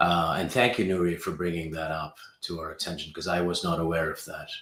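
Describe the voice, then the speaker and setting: A man with a slight British accent and a very deep, low pitch, fairly quick and fairly even in intonation, with audible room echo. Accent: slight, well-traveled British. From England and the Middle East, born in Pakistan. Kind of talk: casual interview chat.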